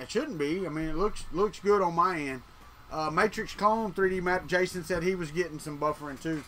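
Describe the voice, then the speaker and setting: Over music in the background, a man with a Southern US accent speaks in a high voice at a moderate pace with ordinary pitch variation. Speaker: 3D printing live streamer. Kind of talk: casual live stream chat. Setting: live stream. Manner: casual, conversational.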